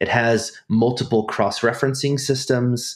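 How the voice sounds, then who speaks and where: Speaking with an American accent at a fairly slow pace, a man comes through on a very clean recording with a silent background. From US Pacific Northwest (Snohomish, Washington). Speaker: biblical studies professor. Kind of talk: casual academic interview.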